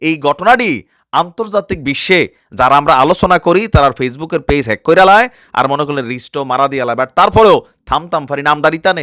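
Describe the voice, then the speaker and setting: Recorded very cleanly against a silent background, a man speaks with a fairly high pitch, a bright, sharp tone and lively intonation in a dry, close sound with no echo. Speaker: news commentary YouTuber. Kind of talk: news commentary in regional dialect.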